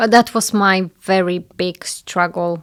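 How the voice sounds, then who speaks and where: A fairly low-voiced woman with a Polish accent on a very clean recording with a silent background. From Poland. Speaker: home staging business owner. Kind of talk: interview.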